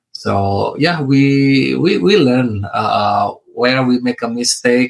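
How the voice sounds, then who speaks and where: A man speaks very slowly in an Indonesian accent. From Indonesia, West Java (Bandung). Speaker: real estate investor. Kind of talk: interview. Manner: halting, many fillers; careful, deliberate.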